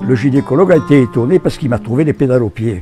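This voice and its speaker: Over music in the background, a man speaks at a medium pitch in a southern French accent. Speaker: adventurer and poet. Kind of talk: interview answer. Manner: storytelling, casual.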